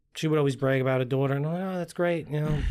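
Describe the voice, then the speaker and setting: A man talks in an American accent. His pitch varies in an ordinary way. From Long Island, New York. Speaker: funeral director. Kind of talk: casual chat.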